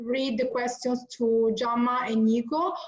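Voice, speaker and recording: A woman's high-pitched voice in an Italian accent. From Italy. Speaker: event organizer. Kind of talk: online class introduction. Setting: video call. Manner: halting.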